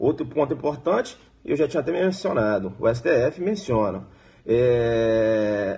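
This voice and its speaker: Somewhat breathy, a man's voice carries lively intonation at very even loudness. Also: medium pitch for a man. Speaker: law exam prep teacher. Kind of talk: live-streamed exam review lecture. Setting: live stream. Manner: fast; animated.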